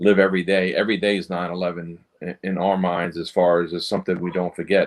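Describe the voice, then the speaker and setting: Here a man speaks with a very deep, low pitch. His intonation is monotone and flat. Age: 50s. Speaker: 9/11 responder. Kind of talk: interview.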